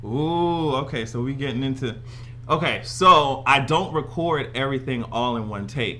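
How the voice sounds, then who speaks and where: Vocal fry colors this man's medium-pitched voice, with ordinary pitch variation. He speaks at a moderate pace amid audible room echo. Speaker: YouTuber. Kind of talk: casual chat. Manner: animated.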